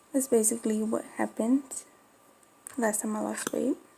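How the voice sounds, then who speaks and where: A woman with an American accent speaks at a fairly quick pace, her fairly high pitch held to fairly even intonation over noticeable background noise. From Florida, Spanish-speaking home. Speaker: dog breeder vlogger. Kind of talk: casual chat.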